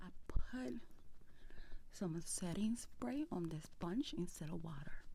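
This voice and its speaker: A soft-spoken woman's somewhat breathy voice, dark and mellow in tone, fairly low in pitch, with very wide pitch swings and a very slow pace. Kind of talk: ASMR makeup tutorial, casual talk to camera. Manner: soft-spoken, relaxing.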